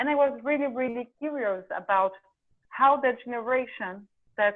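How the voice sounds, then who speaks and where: At a moderate pace, a woman with a Portuguese accent speaks in a fairly high voice with ordinary pitch variation. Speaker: documentary filmmaker. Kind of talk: interview. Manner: halting.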